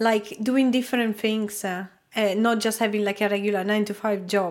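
Speaking at a moderate pace, a woman with a fairly high pitch keeps her intonation fairly even in a very clean recording with a silent background. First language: not English. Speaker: product designer and YouTuber. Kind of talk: casual interview chat. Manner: hesitant, many filler words.

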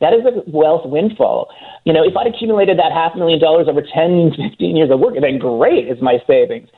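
A man with a high pitch, lively intonation and moderate pace. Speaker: real estate analyst or writer. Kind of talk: radio interview discussion.

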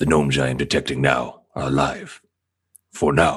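A man's put-on character voice, pitched very deep and low. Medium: actual play. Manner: formal, precise, no contractions.

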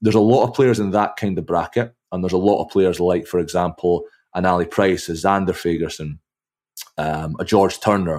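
A man with a Scottish accent and a very deep, low pitch, ordinary pitch variation and a fairly quick pace, on a very clean recording with a silent background. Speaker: rugby commentator and journalist. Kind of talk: casual chat.

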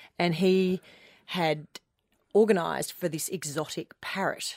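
Speaking at a moderate pace in a warm, animated tone, a woman with an Australian accent comes through in a very clean recording with a silent background and a dry, close sound with no echo. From Melbourne, Australia. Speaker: television news reader. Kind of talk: casual radio interview. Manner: warm, chatty, animated.

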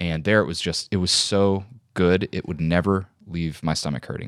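A man with a Chicago accent speaks at a fairly quick pace in a very deep, low voice with ordinary pitch variation. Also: dry, close sound with no echo, very clean recording, silent background. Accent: Midwestern American (Chicago area). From US Midwest, Joliet, Illinois. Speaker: actor and comedian. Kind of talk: casual chat.

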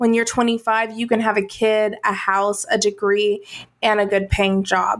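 Using a normal speaking voice, a woman talks at a fairly high pitch and fairly slow pace. The recording is very clean, with a silent background. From US South. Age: 30s. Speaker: entrepreneur and coach. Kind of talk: casual chat.

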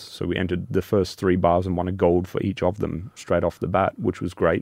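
A man with a very deep, low pitch speaks at a very fast pace with an Australian accent. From Australia, Alice Springs. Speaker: chocolate maker, business owner. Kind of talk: interview.

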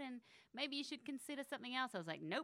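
A woman is speaking with an Australian accent. Her tone is bright and sharp. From Australia (Canberra). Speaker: film critic and author. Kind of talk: casual chat. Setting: studio.

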